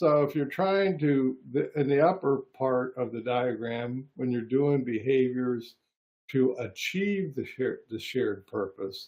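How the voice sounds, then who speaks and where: This man has a normal speaking voice, medium in pitch with ordinary pitch variation. He speaks at a fairly slow pace. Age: 60s. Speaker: psychologist hosting a discussion. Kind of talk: casual chat.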